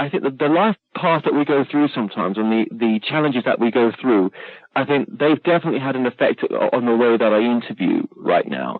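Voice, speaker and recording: With an American accent, a man with a fairly high pitch talks at a very fast pace, his pitch swinging very widely. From UK. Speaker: podcast host and interviewer. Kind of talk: casual interview chat. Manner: halting, many fillers.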